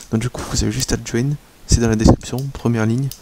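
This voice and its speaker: This soft-spoken man talks at a very fast pace. His medium pitch stays on fairly even intonation. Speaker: gaming youtuber. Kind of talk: video intro to viewers.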